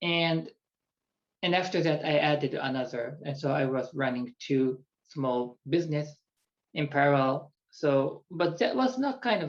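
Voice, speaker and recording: At a fairly slow pace, a man with a Japanese accent talks with a fairly high pitch and ordinary pitch variation. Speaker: executive coach. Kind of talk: personal introduction monologue. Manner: halting.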